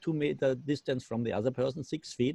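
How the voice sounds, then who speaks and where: The sound is dry and close, with no echo. A man talks very fast in a dark, mellow tone with fairly even intonation. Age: 60s. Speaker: company manager. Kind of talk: testimony. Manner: halting.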